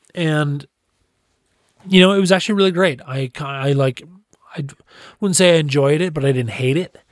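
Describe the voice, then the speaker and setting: Talking at a fairly quick pace, a man with an American accent uses ordinary pitch variation. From US Midwest (Chicago area). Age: 30s. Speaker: podcast host. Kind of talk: casual solo monologue. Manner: animated.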